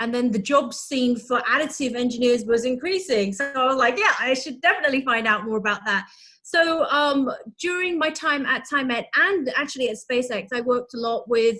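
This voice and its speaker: A woman with a British accent projects a raised voice at a high pitch, her tone bright and sharp. She talks at a moderate pace with ordinary pitch variation. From UK. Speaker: materials engineer. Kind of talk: casual interview. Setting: video call.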